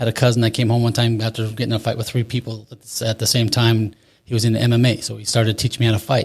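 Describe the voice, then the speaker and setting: The delivery is very fast and somewhat breathy, in an American accent. The intonation stays monotone and flat. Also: man, medium pitch for a man. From Utah. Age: 40s. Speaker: recovery coaching client. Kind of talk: testimony.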